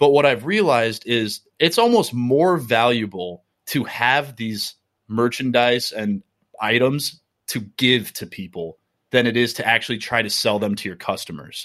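A man speaks at a fairly slow pace with an American accent, in a plain, everyday voice. His pitch sits in the middle, with ordinary pitch variation. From Minnesota. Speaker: coffee roaster business owner. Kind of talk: casual interview.

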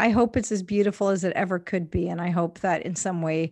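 Against a quiet background, a woman with a Canadian accent speaks at a fairly low pitch in a plain, everyday voice. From Canada, Indian immigrant family. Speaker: evangelism ministry worker. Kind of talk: interview conversation.

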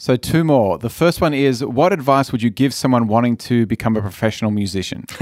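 An ordinary speaking voice moves at a fairly quick pace with hardly any pauses and ordinary pitch variation. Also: man, medium pitch for a man. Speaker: school head and podcast host. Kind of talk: interview questions, host.

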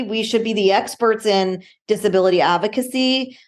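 A woman's unremarkable speaking voice, fairly high-pitched, with fairly even intonation at a moderate pace against a quiet background. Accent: American. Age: 40s. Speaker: motivational speaker and wheelchair athlete. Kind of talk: interview.

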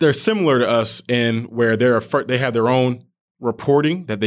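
A man's normal speaking voice with an American accent, medium pitch and ordinary pitch variation at a moderate pace, in a very clean recording with a silent background. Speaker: bank risk specialist, school alumnus. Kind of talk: casual interview.

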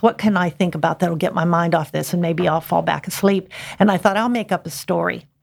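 Vocal fry runs through a woman's fairly low-pitched voice with an American accent. She talks at a fairly quick pace with ordinary pitch variation. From Pittsburgh, Pennsylvania area. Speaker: novelist. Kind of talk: interview.

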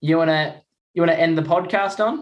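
In an Australian accent, a man talks at a fairly quick pace with a fairly high pitch and ordinary pitch variation. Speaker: Paralympic swimmer, guest presenter. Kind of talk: casual chat.

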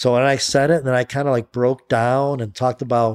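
A man speaks at a medium pitch in a monotone, flat delivery. The recording is very clean with a silent background and a dry, close sound with no echo. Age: 60s. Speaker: author and entrepreneur in recovery from alcoholism. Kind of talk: casual interview.

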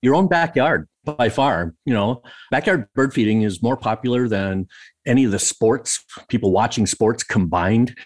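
A man talks in a plain, everyday voice at medium pitch and a moderate pace, with lively intonation and very even loudness. The sound is dry and close with no echo, on a very clean recording with a silent background. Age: 60s. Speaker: birder, author and wildlife photographer. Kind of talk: interview.

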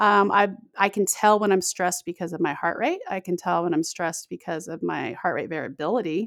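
In a dry, close sound with no echo, a woman speaks fairly quickly in an ordinary speaking voice of medium pitch, with ordinary pitch variation and hardly any pauses. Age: 40s. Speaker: podcaster and intermittent fasting advocate. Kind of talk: interview.

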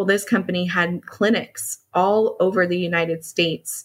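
In fairly even intonation, a woman talks at a fairly slow pace with medium pitch. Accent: American. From US, Dallas, Texas. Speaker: HR consultant and business owner. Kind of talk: interview.

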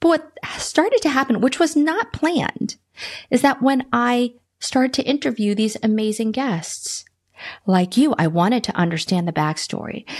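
A woman speaks at a moderate pace with an American accent. Her pitch is high and swings very widely. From US East Coast (Boston, DC metro area). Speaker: business strategist and marketing consultant. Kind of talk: interview conversation.

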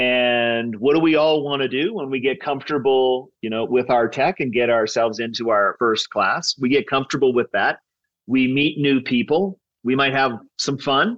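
A man talks at a medium pitch and a moderate pace. His is an unremarkable speaking voice, with ordinary pitch variation. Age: 50s. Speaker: tech startup co-founder. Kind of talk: interview.

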